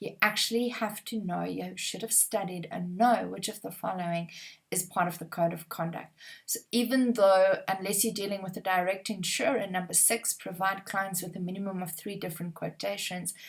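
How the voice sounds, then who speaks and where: A woman speaks at a moderate pace with an Afrikaans accent. Her pitch is medium and her intonation fairly even. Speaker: exam prep trainer. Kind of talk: tutorial. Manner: conversational, uses fillers.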